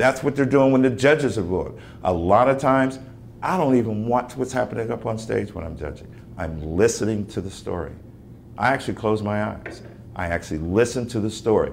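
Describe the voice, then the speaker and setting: Against light background noise, a man talks at a fairly quick pace with lively intonation. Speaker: actor. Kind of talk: workshop talk to teachers. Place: classroom. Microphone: camera far.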